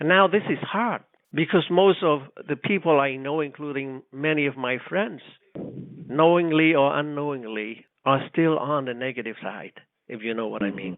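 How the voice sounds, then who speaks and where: A man's fairly high voice, lively in intonation, at a moderate pace. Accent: Cambodian. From Cambodia. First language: Khmer. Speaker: radio co-host, war survivor. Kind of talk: casual chat. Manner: halting.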